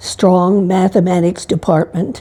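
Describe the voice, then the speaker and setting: The voice is somewhat breathy with a dark, mellow tone and moves at a fairly slow pace. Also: woman. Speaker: nun, retired teacher and massage therapist. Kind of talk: interview testimony. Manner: halting, with fillers.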